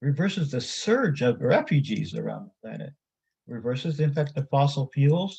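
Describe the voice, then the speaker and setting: A man's somewhat breathy, dark, mellow voice, fairly high in pitch, with ordinary pitch variation at a moderate pace. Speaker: activist and author presenting at a conference. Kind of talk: conference presentation.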